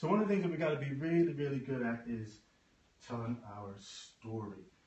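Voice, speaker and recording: A man with an American accent speaks with lively intonation. Noticeable background noise can be heard. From United States. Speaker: business trainer and coach. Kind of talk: talk at a networking event.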